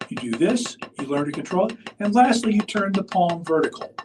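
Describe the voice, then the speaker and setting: Moderate in pace, the speech moves along evenly. The accent is American. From US Midwest (northwest Indiana). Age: 60s. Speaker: percussion clinician. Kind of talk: lecture.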